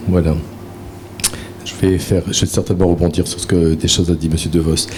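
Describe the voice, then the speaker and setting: A man in a northern French accent, with noticeable background noise. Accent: Ch'ti (northern French). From northern France, near Valenciennes. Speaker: therapist and trainer, conference speaker. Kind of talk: conference talk. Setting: conference with live audience. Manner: conversational, with many fillers.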